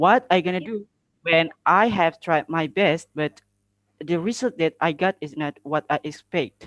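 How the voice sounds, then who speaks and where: In an Indonesian accent, a high-pitched man speaks at a fairly slow pace with ordinary pitch variation, the sound dry and close with no echo. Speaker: public speaking contestant. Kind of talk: impromptu speech answer. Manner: halting, hesitant.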